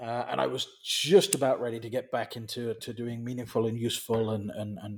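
Moving at a fairly quick pace, this man keeps to a medium pitch. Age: 40s. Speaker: business consultant. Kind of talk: casual chat. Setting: video call. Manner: halting.

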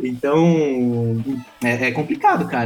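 With music in the background, a man speaks in a medium pitch. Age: 30s. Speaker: tech startup founder. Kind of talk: interview.

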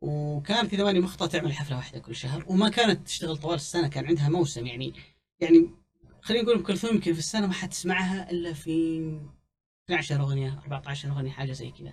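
A man's fairly high voice at a very fast pace, with ordinary pitch variation and big swings in loudness. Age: 30s. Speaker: music commentator. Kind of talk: casual chat.

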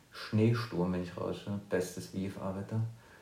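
A man with a dark, mellow tone and fairly even intonation, in audible room echo. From eastern Germany, near Leipzig. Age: 30s. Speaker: podcast co-host and professional pilot. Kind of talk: casual chat.

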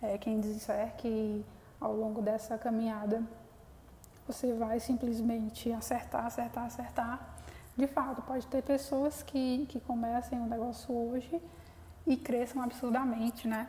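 A fairly high-pitched woman's voice, fairly slow with fairly even intonation, over noticeable background noise. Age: 20s. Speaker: podcast host, young entrepreneur. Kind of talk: solo podcast monologue. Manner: hesitant, many fillers.

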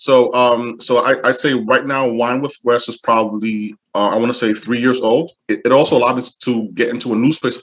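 With hardly any pauses, the speech runs at a fairly quick pace and keeps a fairly even intonation. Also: man. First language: French. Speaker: wine brand ambassador. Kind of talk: casual interview chat.

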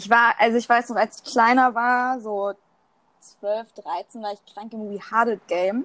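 A woman speaks at a fairly slow pace and fairly high pitch, her loudness swinging widely in a dry, close recording with no echo. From Germany. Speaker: podcast co-host. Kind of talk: casual chat. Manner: animated.

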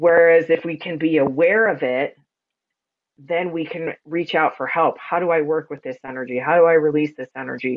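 A loud, resonant woman's voice, very deep and low in pitch, with fairly even intonation at a moderate pace. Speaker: energy healer and sound practitioner. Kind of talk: casual chat interview.

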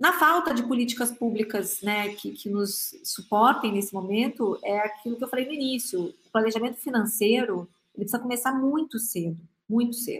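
A woman with an unremarkable speaking voice talks at a moderate pace with a fairly high pitch and ordinary pitch variation. The recording is very clean with a silent background. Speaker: innovation executive, future-of-work researcher. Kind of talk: panel discussion.

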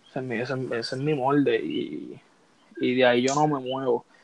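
A man's fairly high voice in a Puerto Rican accent, at a moderate pace with fairly even intonation. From Puerto Rico. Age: 20s. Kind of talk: casual chat.

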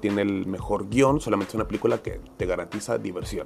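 A man with a Mexican accent speaks with ordinary pitch variation. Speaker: podcast host. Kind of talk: casual monologue. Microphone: home podcast equipment, sounded poor.

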